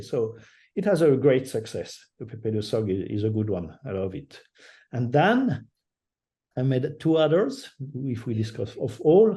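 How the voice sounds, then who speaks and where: In a French accent, a man speaks fairly slowly at a medium pitch, his dark, mellow tone somewhat breathy against a quiet background. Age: old. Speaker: digital artist. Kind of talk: interview. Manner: halting.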